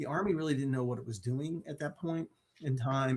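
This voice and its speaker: A man speaks at a medium pitch with ordinary pitch variation. His voice is somewhat breathy. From US, Maryland. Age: 60s. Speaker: mental health speaker. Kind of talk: interview.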